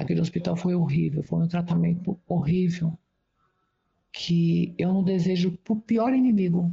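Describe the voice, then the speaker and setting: A woman speaks at a fairly slow pace in a fairly low pitch. Her voice is somewhat breathy. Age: 60s. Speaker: interviewee sharing personal experience. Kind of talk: testimony. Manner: halting.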